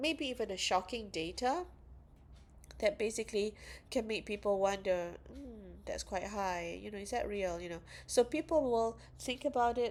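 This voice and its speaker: A woman speaks with vocal fry and ordinary pitch variation. The recording is very clean with a silent background. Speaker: university lecturer. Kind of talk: lecture. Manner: slow.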